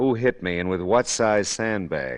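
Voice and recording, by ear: A man uses a put-on character voice, low in pitch with big pitch swings, at a fairly slow pace. The recording is very clean, with a silent background.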